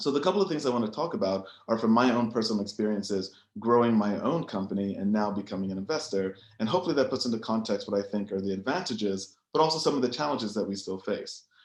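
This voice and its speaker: Lively intonation marks this man's medium-pitched voice with an American accent. He talks at a very fast pace. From United States. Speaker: biotech entrepreneur and investor. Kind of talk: panel presentation.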